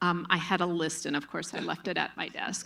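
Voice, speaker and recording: Loud and bright with a sharp tone, a woman speaks at a fairly low pitch on a very clean recording with a silent background. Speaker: nonprofit executive. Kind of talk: prize drawing announcement.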